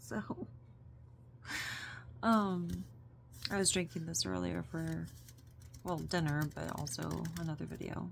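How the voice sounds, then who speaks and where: Fairly slow delivery broken by long, frequent pauses. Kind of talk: ASMR whisper talk. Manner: soft, rambling.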